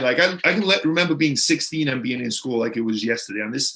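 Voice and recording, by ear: A man's fairly bright voice with a slightly husky edge and lively intonation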